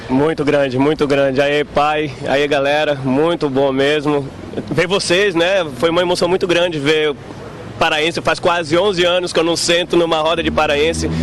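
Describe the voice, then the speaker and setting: Against noticeable background noise, a man with a fairly high pitch talks at a moderate pace, his loudness very even and his intonation fairly even. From Brazil, Pará. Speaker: restaurant waiter. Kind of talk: street interview.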